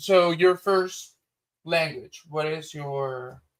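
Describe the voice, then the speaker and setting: With a Spanish accent, a man speaks at a very slow pace with ordinary pitch variation. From Spanish-speaking country. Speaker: streamer. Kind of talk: casual chat.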